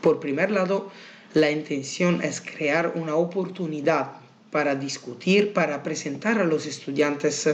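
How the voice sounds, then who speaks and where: Audible room echo surrounds a man speaking with an Italian accent. His pitch is fairly high with ordinary variation, and his pace is fairly slow. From Italy. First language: Italian (speaking Spanish). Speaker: university researcher. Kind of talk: conference presentation. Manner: halting, with many fillers.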